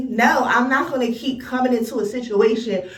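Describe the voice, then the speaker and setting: Amid noticeable background noise and audible room echo, a woman with a fairly high-pitched voice sounds animated, with ordinary pitch variation. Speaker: vlogger. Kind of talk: angry rant vlog.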